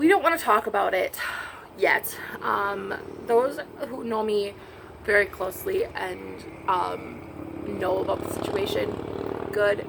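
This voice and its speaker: Fairly slow female speech over noticeable background noise. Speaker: vlogger. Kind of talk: casual chat. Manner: quiet.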